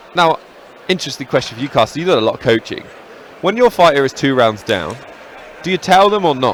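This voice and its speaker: Despite long, frequent pauses, a man speaks at a very fast pace with a fairly high pitch and very wide pitch swings over noticeable background noise. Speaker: MMA commentator. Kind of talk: live commentary.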